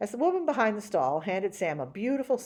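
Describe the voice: The recording holds a plain reading of a text out loud.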